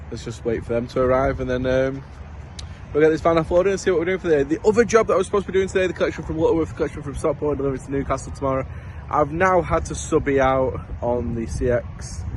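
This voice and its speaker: Noticeable background noise fills the recording. Over it, a man's very fast speech carries lively intonation. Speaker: courier business owner and van driver. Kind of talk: vlog narration. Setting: in a van on the road. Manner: casual.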